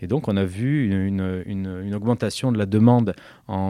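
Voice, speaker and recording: A man speaks at a moderate pace in a fairly low voice with ordinary pitch variation, on a very clean recording with a silent background. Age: 40s. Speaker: plastic surgeon. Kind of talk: interview. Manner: halting.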